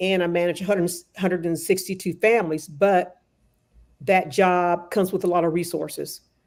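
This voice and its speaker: A woman speaks in a plain, everyday voice at medium pitch and a fairly quick pace, her intonation fairly even, on a very clean recording with a silent background. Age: 60s. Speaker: nonprofit program coordinator. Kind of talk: casual chat.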